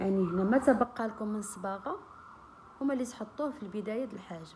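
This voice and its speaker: Noticeable background noise sits behind a woman with a fairly high pitch. She talks at a fairly quick pace, and her loudness swings widely. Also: ordinary pitch variation. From Morocco. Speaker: beauty and cooking vlogger. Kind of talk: tutorial. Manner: casual, friendly.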